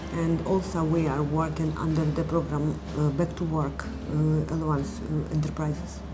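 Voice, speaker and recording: A woman at a moderate pace with hardly any pauses and very even loudness, over noticeable background noise. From Ukraine. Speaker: cafe owner. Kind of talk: documentary interview. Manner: halting.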